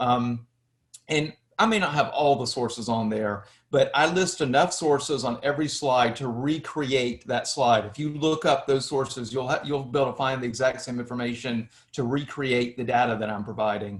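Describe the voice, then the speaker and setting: A man's medium-pitched voice in a Southern US accent, at a moderate pace with ordinary pitch variation. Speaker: history lecturer, YouTuber. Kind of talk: interview.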